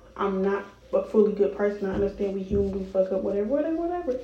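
Against noticeable background noise and audible room echo, a woman speaks at a medium pitch with ordinary pitch variation. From Chicago, US Midwest. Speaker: podcast host, college student. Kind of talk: casual solo chat.

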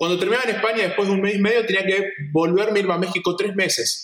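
A man with a Santa Fe accent speaks at a very fast pace and a high pitch with ordinary pitch variation, with audible room echo. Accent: Argentine Spanish (rioplatense, santafesino). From Argentina, Santa Fe province. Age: 30s. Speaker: photographer and photography teacher. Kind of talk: casual interview chat. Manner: halting, many repetitions and fillers.

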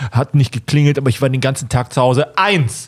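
The man's voice is somewhat breathy and sits at medium pitch. He talks at a very fast pace. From Germany. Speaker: YouTuber and filmmaker. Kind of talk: casual chat.

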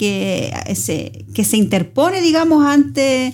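Noticeable background noise runs under the recording. A woman talks at a fairly slow pace. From Chile, Osorno. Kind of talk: casual religious chat.

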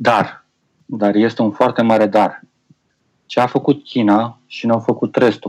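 A man at medium pitch, fairly slow and monotone, with flat intonation and long, frequent pauses. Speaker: IT specialist and TV presenter. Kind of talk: casual chat.

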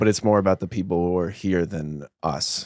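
A man with a very deep, low pitch in a dry, close sound with no echo, on a very clean recording with a silent background. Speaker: podcast host and studio manager. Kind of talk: casual chat. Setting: studio. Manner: casual, conversational.

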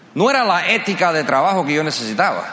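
Over noticeable background noise, a man with a fairly high pitch speaks in an animated tone. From US, Cuban-American family. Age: 50s. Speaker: motivational speaker. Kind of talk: motivational speech. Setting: stage with audience.

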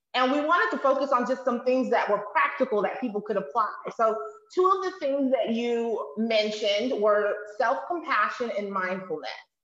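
A woman's high-pitched voice in an animated, enthusiastic tone with very wide pitch swings, amid noticeable background noise. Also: moderate pace. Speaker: video host. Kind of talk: casual interview chat.

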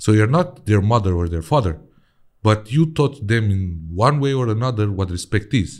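On a very clean recording with a silent background, a man with a Romanian accent speaks at a moderate pace in a fairly low voice with lively intonation. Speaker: podcast host. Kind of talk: interview.

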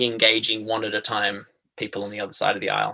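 A very fast voice with a bright, sharp tone in an Australian accent. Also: man. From southeastern Australia. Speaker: playwright and theatre-maker. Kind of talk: casual interview. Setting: remote call.

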